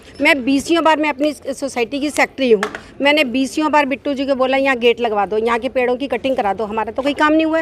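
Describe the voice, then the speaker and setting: A woman's high-pitched, fairly even speech at a moderate pace, with noticeable background noise. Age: 60s. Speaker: housing society secretary, member of the public. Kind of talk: street interview.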